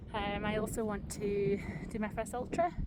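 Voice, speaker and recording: A woman talks in an English accent. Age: 30s. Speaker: outdoor vlogger. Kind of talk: casual vlog narration. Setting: outdoors on a mountain.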